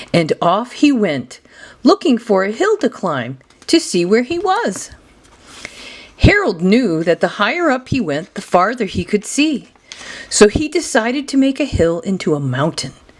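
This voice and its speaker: A woman talks at a fairly slow pace in a fairly high pitch. Her pitch swings very widely, and there is noticeable background noise. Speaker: grandmother reading a children's book aloud. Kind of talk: children's picture book reading.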